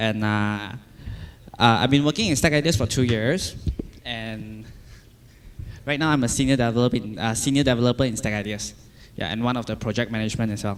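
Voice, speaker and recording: The speech is fairly quick with ordinary pitch variation, broken by long, frequent pauses. Audible room echo is present. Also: man, medium pitch for a man. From Malaysia. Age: 20s. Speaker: software developer. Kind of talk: conference talk. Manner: halting, many repetitions and fillers.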